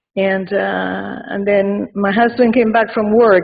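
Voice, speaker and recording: A woman's medium-pitched voice with an Argentine accent, fairly slow in pace and monotone, flat in intonation. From Argentina. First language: Spanish. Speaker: mourner giving a tribute. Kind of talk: eulogy. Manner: halting.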